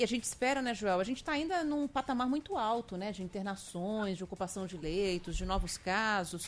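A woman with a plain, everyday voice at a medium pitch, lively in intonation, fairly quick with hardly any pauses. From Rio de Janeiro (Campo Grande). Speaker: radio news host. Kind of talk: radio news talk.

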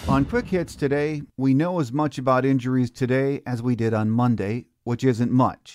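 In an ordinary speaking voice with an American accent, a man talks at a moderate pace and medium pitch with ordinary pitch variation, on a very clean recording with a silent background. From southeast Michigan, Newport. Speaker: podcast host. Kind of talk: sports podcast interview and scripted segment.

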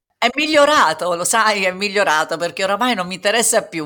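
On a very clean recording with a silent background, a woman speaks with lively intonation and a bright, sharp tone. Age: 60s. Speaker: singer and breast cancer survivor. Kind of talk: testimony.

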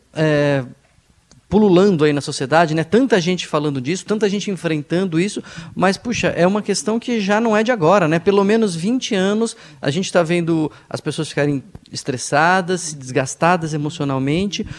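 Ordinary pitch variation runs through this man's high-pitched voice. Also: moderate pace. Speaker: psychiatrist co-host. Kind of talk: radio talk show.

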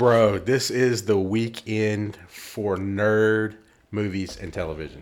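A man speaks at a very slow pace with fairly even intonation and a fairly low pitch. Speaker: podcast co-host. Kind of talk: casual chat.

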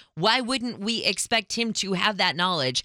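A woman speaks at a fairly high pitch with lively intonation and vocal fry, her tone bright and sharp. The pace is moderate, and the sound is dry and close with no echo. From Reading. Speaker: radio co-host. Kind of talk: morning radio talk show.

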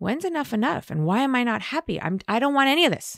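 A woman with an American accent talks very fast, her pitch swinging very widely. The recording is very clean, with a silent background. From Los Angeles, US West Coast. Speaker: recovering addict sharing her story. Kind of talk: casual interview chat.

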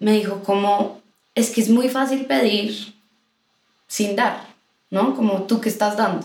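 A woman speaks at a fairly high pitch and a fairly slow pace, her voice somewhat breathy, her intonation fairly even and her loudness very even, with long, frequent pauses and audible room echo. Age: 20s. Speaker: singer, guest sharing her faith story. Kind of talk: casual chat, personal testimony. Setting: recorded in person with hosts.

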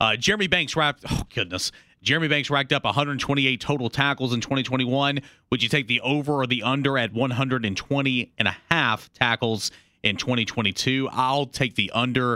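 A man's bright, sharp voice at a fairly quick pace, very even in loudness, with ordinary pitch variation, in a very clean recording with a silent background and a dry, close sound with no echo. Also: medium pitch for a man. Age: 20s. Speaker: sports radio co-host. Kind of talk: sports news reading.

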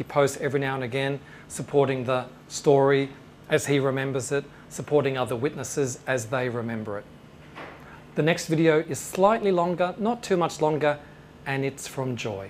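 A man speaks in an Australian accent, his voice fairly high. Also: ordinary pitch variation, moderate pace. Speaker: UFO researcher. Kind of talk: lecture. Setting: stage with audience.

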